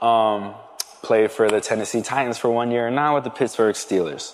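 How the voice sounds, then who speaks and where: Over noticeable background noise, a man with an American accent talks at medium pitch with ordinary pitch variation. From Philadelphia area, Pennsylvania. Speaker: football player. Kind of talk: testimony.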